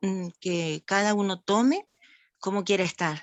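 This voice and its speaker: Her voice sits at a medium pitch. The woman talks at a very slow pace. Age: 60s. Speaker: talk attendee. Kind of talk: open discussion in online talk. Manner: halting.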